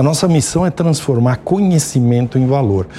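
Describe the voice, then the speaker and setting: Very wide pitch swings from a man speaking at a moderate pace, noticeable background noise behind him. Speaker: business executive. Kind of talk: TV interview. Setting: studio. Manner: halting, many fillers.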